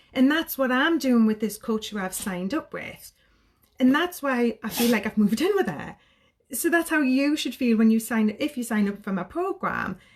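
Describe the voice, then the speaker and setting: A woman with a Geordie accent speaks at a moderate pace in a high, animated voice with lively intonation. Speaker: sobriety coach. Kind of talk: live stream talk to viewers. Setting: social media live video.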